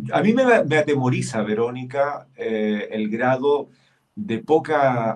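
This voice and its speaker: A man at a medium pitch with ordinary pitch variation, speaking at a very slow pace. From Chile. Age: 60s. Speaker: senator. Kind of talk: political interview. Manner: halting, many fillers.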